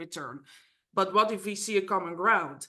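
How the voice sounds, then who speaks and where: Against a quiet background, a woman with a Dutch accent speaks at a moderate pace, her tone bright and sharp with ordinary pitch variation. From Netherlands. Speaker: mediator. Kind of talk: interview. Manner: halting.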